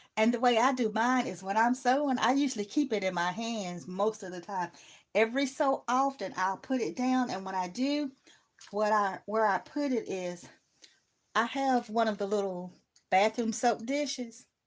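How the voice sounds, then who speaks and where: In a very clean recording with a silent background, a woman speaks at a fairly high pitch and a fairly slow pace, with ordinary pitch variation and long, frequent pauses. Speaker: sewing crafter. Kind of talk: live stream tutorial.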